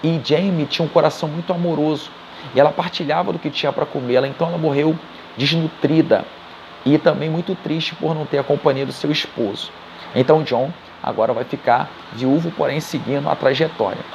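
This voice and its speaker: A man's fairly high voice at a fairly quick pace, fairly even in intonation, with noticeable background noise. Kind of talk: casual spoken retelling of a book. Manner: halting, self-correcting.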